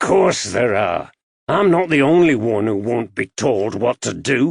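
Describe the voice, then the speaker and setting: A man puts on a raspy character voice at a medium pitch and a fairly slow pace. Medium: read story. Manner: gruff, blunt, belligerent.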